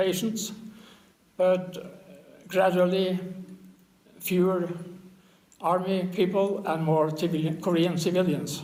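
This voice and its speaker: A man with a high voice speaks fairly slowly in a flat monotone, with audible room echo. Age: 80s+. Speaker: war veteran. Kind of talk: interview testimony. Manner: halting, with fillers.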